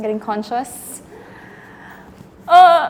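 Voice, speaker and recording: Noticeable background noise fills the recording. A woman talks over it. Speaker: acting student. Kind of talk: acting exercise, spoken awareness. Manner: halting; pitch rising.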